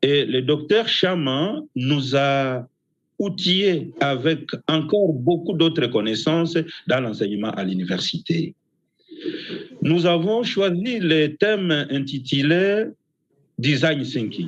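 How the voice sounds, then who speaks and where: A man's very slow delivery at a fairly high pitch, with lively intonation and long, frequent pauses. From DR Congo. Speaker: university professor. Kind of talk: symposium presentation. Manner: halting.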